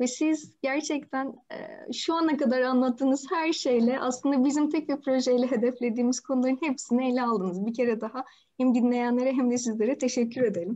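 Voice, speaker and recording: Against a quiet background, a woman with a high pitch and a dark, mellow tone talks at a fairly quick pace with hardly any pauses and ordinary pitch variation. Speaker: interviewer. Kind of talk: interview questions. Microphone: video call.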